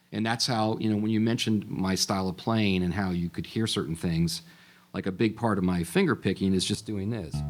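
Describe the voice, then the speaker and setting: Music plays in the background as a man with fairly low pitch speaks at a fairly quick pace. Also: ordinary pitch variation. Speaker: guitarist and songwriter. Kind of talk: interview answer.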